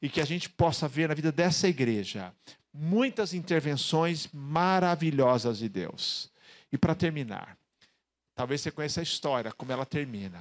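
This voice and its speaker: Here is a man with an unremarkable speaking voice, fairly high-pitched, with lively intonation. He keeps a moderate pace in a very clean recording with a silent background. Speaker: pastor. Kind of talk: sermon. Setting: church.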